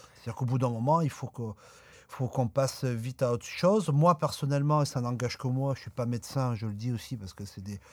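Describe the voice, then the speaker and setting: Fairly quick delivery from a man with an ordinary speaking voice, medium pitch and ordinary pitch variation. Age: 40s. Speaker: jazz accordionist. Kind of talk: radio interview.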